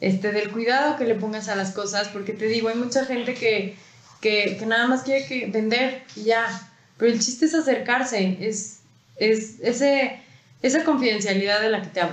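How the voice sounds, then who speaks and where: Audible room echo surrounds a woman with a Mexican accent who speaks at a moderate pace in a fairly high pitch with ordinary variation. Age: 20s. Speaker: entrepreneur, company co-founder. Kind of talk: podcast interview.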